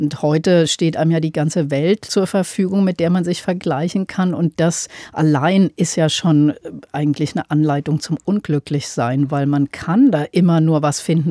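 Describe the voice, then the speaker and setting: With a dry, close sound with no echo, a woman with a very deep, low pitch and a dark, mellow tone speaks at a moderate pace with ordinary pitch variation. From Upper Franconia, Bamberg; later Aschaffenburg. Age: 50s. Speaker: journalist and author. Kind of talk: panel discussion.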